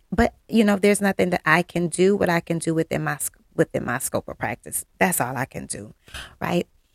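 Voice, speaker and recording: At a fairly quick pace, a woman with a fairly low pitch and vocal fry speaks with lively intonation and big swings in loudness, the sound dry and close with no echo. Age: 40s. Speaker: podcast host. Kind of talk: solo reflective monologue.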